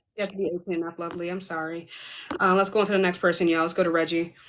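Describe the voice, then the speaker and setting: A woman speaks very fast at a medium pitch in a monotone, flat intonation. Noticeable background noise can be heard. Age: 30s. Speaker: live debate stream host. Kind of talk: live stream debate moderation. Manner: casual, addresses viewers as y'all.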